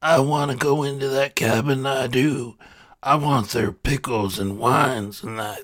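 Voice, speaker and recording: Speaking at a moderate pace, a man growls in a put-on character voice at a medium pitch. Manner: growling, impatient.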